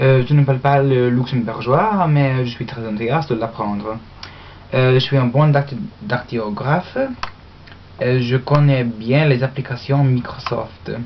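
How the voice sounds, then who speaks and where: Amid noticeable background noise, a woman with an English accent speaks at a fairly slow pace with a very deep, low pitch, ordinary pitch variation, and long, frequent pauses. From Australia. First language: English (speaking French). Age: young. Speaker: university language student. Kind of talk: mock job application speech. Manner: halting, many hesitations.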